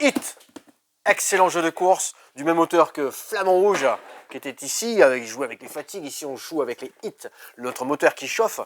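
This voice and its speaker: With an enthusiastic tone and lively intonation, a man speaks at a high pitch and moderate pace, his loudness swinging widely, with long, frequent pauses in a dry, close sound with no echo. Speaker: board game shop staff presenting games. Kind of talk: product presentation video. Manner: enthusiastic salesy.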